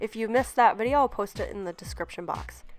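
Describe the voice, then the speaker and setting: A woman with fairly high pitch speaks with music in the background. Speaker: nail technician. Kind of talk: tutorial voice-over.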